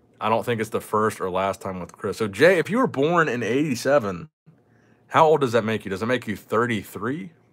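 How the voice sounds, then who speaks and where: At a moderate pace, the speaker's animated tone and lively intonation come through on a very clean recording with a silent background. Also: man, medium pitch for a man. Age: 20s. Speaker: gaming livestreamer, card collector. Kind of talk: live stream chat while opening card packs. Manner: casual, animated.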